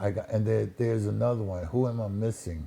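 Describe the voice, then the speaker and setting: This man talks with a fairly low pitch, ordinary pitch variation and a dark, mellow tone, in an American accent. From Connecticut, Waterbury. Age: 60s. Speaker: musician, ex-Marine. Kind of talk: casual chat.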